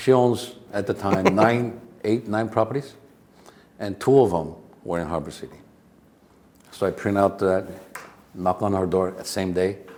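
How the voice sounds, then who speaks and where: A man with a fairly low voice talks at a moderate pace with ordinary pitch variation, big swings in loudness, and long, frequent pauses. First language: not English. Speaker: real estate agent and educator. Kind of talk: interview answer. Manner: casual, storytelling.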